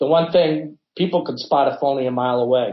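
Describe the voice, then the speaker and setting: A man talks fairly quickly in a slightly breathy voice, his pitch varying in an ordinary way. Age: 60s. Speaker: business executive, Navy veteran. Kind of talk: interview. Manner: conversational, casual.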